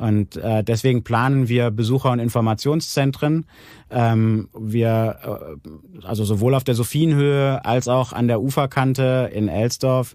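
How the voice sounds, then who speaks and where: The voice has a dark, mellow tone, ordinary pitch variation and very even loudness, moving at a fairly slow pace in a very clean recording with a silent background. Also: man, medium pitch for a man. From Germany, Aachen (Rhineland). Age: 40s. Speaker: regional development manager. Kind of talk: interview. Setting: studio. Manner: hesitant, many filler sounds.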